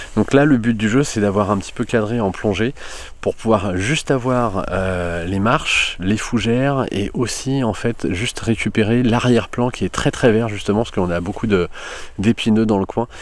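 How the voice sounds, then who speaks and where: A man at a moderate pace, with ordinary pitch variation and a dry sound with no echo. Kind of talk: tutorial. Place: forest. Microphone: phone near.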